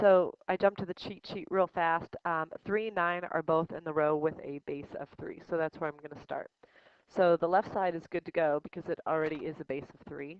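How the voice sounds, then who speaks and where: In a plain, everyday voice, a woman speaks at a moderate pace, fairly low in pitch with fairly even intonation and big swings in loudness. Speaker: high school math teacher. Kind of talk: tutorial.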